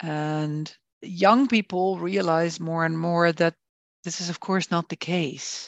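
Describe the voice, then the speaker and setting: Very slow and fairly low for a woman, her voice has fairly even intonation, with a dry, close sound with no echo and a quiet background. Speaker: performance coach and haptotherapist. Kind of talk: interview conversation. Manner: hesitant, many fillers.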